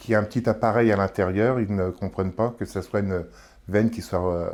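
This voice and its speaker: Fairly quick speech from a man at a fairly low pitch, fairly even in intonation, on a very clean recording with a silent background. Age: 60s. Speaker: kidney patient. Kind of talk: interview testimony. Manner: hesitant, with filler words.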